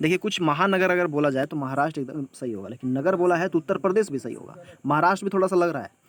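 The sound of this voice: A man talks at a fast pace in a fairly high pitch. His intonation is lively.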